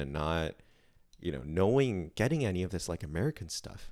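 Over a silent background in a very clean recording, a man with a very deep, low pitch talks at a moderate pace with lively intonation. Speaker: podcast co-host. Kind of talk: casual chat. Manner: laughs a lot while talking.

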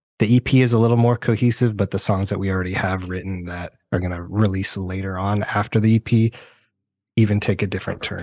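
A man with an unremarkable speaking voice and fairly low pitch talks at a fairly quick pace with fairly even intonation against a quiet background. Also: dry, close sound with no echo. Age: 30s. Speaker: metal band vocalist. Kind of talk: casual chat.

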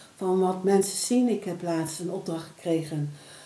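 Audible room echo surrounds the voice. The intonation is lively. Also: woman. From Netherlands, Deventer (Overijssel). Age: 50s. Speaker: photographer and prevention worker. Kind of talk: interview.

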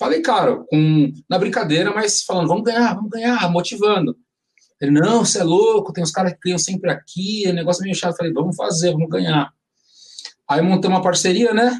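Very fast in pace, a man speaks with a high pitch and ordinary pitch variation. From São Paulo, Brazil (Limão district). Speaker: samba composer. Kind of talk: casual chat.

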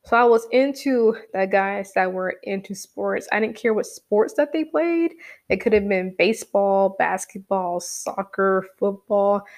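A woman's plain, everyday voice, medium in pitch, fairly slow with hardly any pauses, with lively intonation. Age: 20s. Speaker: solo podcast host. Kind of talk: casual monologue. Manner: chatty, conversational.

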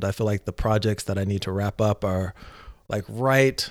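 An ordinary speaking voice, a man's, fairly low in pitch, with an American accent, a moderate pace, and fairly even intonation, in a very clean recording with a silent background and a dry, close sound with no echo. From US, Northern Virginia near Washington DC (also LA and Atlanta). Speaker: entrepreneur and mindfulness facilitator. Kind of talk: casual chat.

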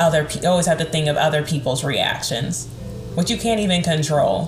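With music in the background, a woman with an American accent speaks at a very deep, low pitch with ordinary pitch variation. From American South. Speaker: podcast host.

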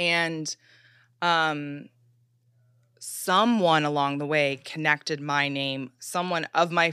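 A woman in an American accent with a very deep, low pitch, a bright, sharp tone and ordinary pitch variation, in a dry, close sound with no echo and a very clean recording with a silent background. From Chicago. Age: 30s. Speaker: celebrity stylist. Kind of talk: casual chat.

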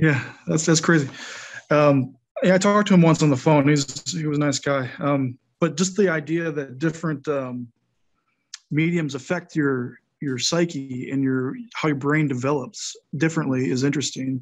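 This is an ordinary speaking voice with an American accent. It moves at a moderate pace with ordinary pitch variation. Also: man, fairly high pitch for a man. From Wisconsin, US. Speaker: author and poet. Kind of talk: casual interview chat.

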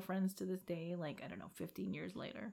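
Recorded very cleanly against a silent background, a woman talks with an American accent. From Philippines. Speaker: podcast host. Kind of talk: casual chat. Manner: casual, joking, profane.

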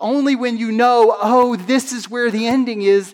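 The man speaks in an animated tone. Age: 30s. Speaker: pastor. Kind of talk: sermon.

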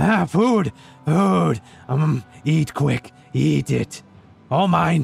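Over faint music in the background, a man puts on a character voice at a fairly high pitch, speaking at a very slow pace with long, frequent pauses. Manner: gleeful, frantic.

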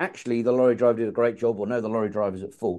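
This man has an English accent and a dark, mellow tone. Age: 50s. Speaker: podcast host. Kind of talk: casual chat.

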